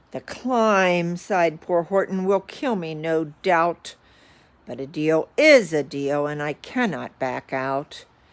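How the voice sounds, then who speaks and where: A woman puts on a character voice with a fairly low pitch. She goes at a fairly slow pace on a very clean recording with a silent background. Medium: read story.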